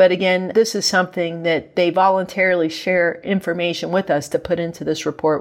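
An ordinary speaking voice at a moderate pace. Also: woman. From West Virginia. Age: 40s. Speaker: federal agency head. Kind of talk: interview. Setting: remote from Fargo, North Dakota.

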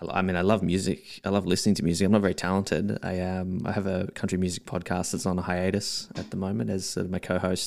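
A man with an Australian accent and a very deep, low pitch talks at a very fast pace with hardly any pauses. His intonation stays fairly even on a very clean recording with a silent background. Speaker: watch enthusiast and marketer. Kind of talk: casual interview chat.

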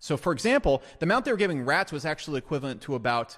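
A man talks at a very fast pace with lively intonation. His tone is animated. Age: 30s. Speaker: business advice video creator. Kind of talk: casual monologue.

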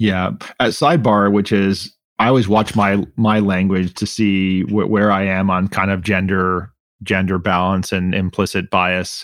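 Over a quiet background, a man speaks fairly slowly in an unremarkable speaking voice, with a fairly low pitch, fairly even intonation and very even loudness. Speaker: podcast host. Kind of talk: interview conversation.

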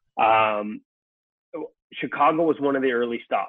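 A normal speaking voice with a Canadian accent and ordinary pitch variation. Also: man. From Canada. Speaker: sports journalist. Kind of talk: casual interview.

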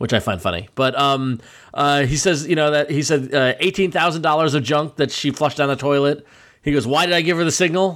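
On a very clean recording with a silent background, a man with an unremarkable speaking voice talks fairly quickly at a fairly high pitch, with ordinary pitch variation and very even loudness. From Long Island, New York. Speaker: podcast host. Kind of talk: casual chat; show outro. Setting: studio.

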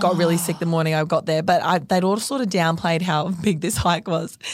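The speaker has an Australian accent and fairly even intonation. The recording is very clean, with a silent background. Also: woman. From North Queensland, Australia. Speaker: fashion label co-founder. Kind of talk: casual chat.

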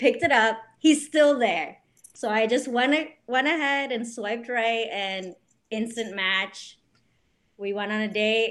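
This woman speaks with a New Jersey accent at a fairly high pitch, her pitch varying in an ordinary way. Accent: New Jersey American. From US, New Jersey. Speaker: bike brand co-founder. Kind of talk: casual interview chat.

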